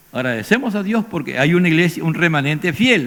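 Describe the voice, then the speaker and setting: With lively intonation and a high pitch for a man, his speech moves at a moderate pace. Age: 70s. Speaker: pastor. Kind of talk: sermon.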